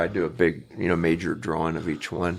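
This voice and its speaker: A man with an American accent talks fairly quickly, recorded very cleanly against a silent background. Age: 70s. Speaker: artist. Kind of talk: casual interview.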